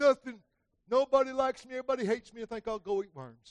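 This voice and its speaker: A man puts on a whiny character voice at an extremely high pitch, racing at a very fast pace with fairly even intonation and a whiny tone. His loudness swings widely, and the sound is dry and close with no echo. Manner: pouting, whiny.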